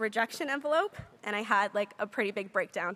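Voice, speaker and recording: A woman with a Canadian accent and a bright, sharp tone speaks at a fairly high pitch and fairly quick pace on a very clean recording with a silent background. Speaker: graduating student speaker. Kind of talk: commencement speech. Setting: convocation hall with audience.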